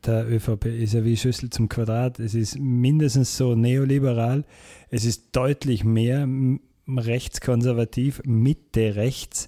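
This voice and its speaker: Very slow and monotone, a man speaks at a medium pitch with a dark, mellow tone, flat intonation and very even loudness. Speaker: podcast co-host. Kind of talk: casual political discussion.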